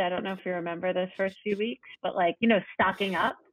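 With a New York accent, a woman speaks at a fairly quick pace and with fairly even intonation. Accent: New York American. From New York City. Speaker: yoga teacher and nonprofit founder. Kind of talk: casual interview.

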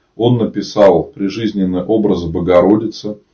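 This man speaks at a fairly slow pace. His intonation stays fairly even. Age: 30s. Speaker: Orthodox priest. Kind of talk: live-stream talk and Q&A with viewers; reading aloud facts. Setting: online live broadcast.

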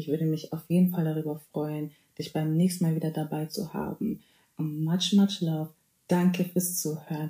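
Somewhat breathy, a woman speaks at a very deep, low pitch in a dark, mellow tone. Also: moderate pace. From Bavaria, Germany. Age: 20s. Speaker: podcast host, student. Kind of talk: casual faith podcast monologue. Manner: animated, mixes in English phrases.

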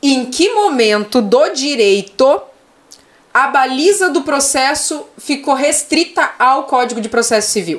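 This woman's voice sits high in pitch. She speaks very slowly. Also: lively intonation. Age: 30s. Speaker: animal rights lawyer. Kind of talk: casual interview chat.

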